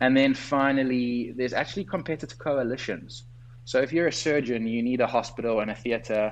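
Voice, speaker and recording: A man with a South African accent at a medium pitch, fairly quick, with fairly even intonation. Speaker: doctor and entrepreneur. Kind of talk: interview. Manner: articulate, structured.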